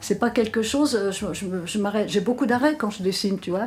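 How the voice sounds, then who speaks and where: A woman speaks at a medium pitch with a somewhat breathy quality and ordinary pitch variation. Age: 80s+. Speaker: artist who draws. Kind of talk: interview answer.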